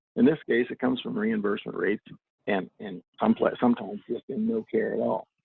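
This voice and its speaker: A man speaks with a Midwestern US accent. His pace is fairly quick. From Southeast Iowa. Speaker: political candidate. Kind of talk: candidate forum answer. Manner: halting.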